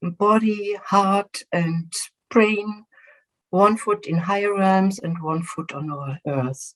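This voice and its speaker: Speaking at a very slow pace with a German accent, a woman uses a medium pitch, ordinary pitch variation and a somewhat breathy sound. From Germany. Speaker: physician and spiritual regression facilitator. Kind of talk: presentation. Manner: halting, with filler words.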